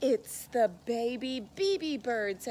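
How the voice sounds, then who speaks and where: A woman puts on a high-pitched character voice. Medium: read story.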